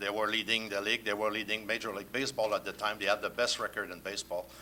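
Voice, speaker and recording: With a French accent, a man talks very fast in a fairly low, bright, sharp voice with monotone, flat intonation. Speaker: sports journalist. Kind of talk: panel discussion.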